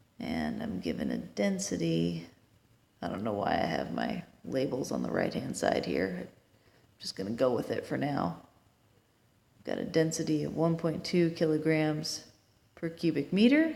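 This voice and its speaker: Room echo is audible, and the speech is broken by long, frequent pauses. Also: woman. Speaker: engineering tutor. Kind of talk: tutorial. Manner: slow.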